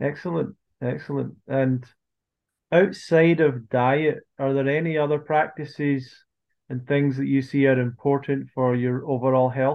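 An unremarkable speaking voice moves at a fairly slow pace. Its intonation stays fairly even. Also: man, fairly high pitch for a man. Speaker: podcast host. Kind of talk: casual interview chat.

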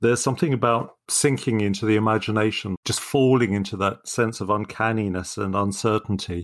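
A man with a plain, everyday voice speaks at a fairly quick pace and fairly low pitch. His intonation stays fairly even, and the recording is very clean with a silent background. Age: 60s. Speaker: poetry podcast co-host. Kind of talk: casual chat.

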